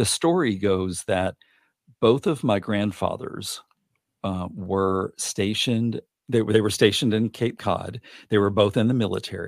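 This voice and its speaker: A man with an American accent talks in an ordinary speaking voice, fairly low in pitch with ordinary pitch variation, at a fairly slow pace. The recording is very clean with a silent background, and the sound is dry and close with no echo. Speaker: podcast guest, adoptee. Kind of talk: casual chat.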